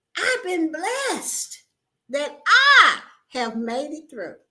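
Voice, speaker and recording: A woman uses a raised, projected voice with a bright, sharp tone, speaking at a very slow pace. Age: 60s. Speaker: YouTuber and home business promoter. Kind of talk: livestream chat with viewers. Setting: livestream.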